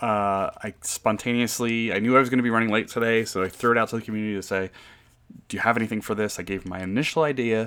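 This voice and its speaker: A man with an American accent, very fast pace and fairly even intonation. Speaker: podcast host, board game designer. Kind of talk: casual podcast monologue. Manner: casual with filler words and restarts.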